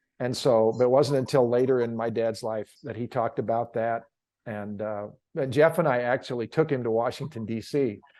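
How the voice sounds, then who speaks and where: A normal speaking voice from a man, medium in pitch, fairly quick in pace, with fairly even intonation. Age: 60s. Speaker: author and leadership coach, grandfather. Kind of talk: interview conversation.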